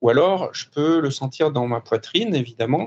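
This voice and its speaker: The speaker is a man whose pitch sits fairly high. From France. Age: 50s. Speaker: former offshore sailor turned business coach. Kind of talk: interview. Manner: hesitant, many fillers.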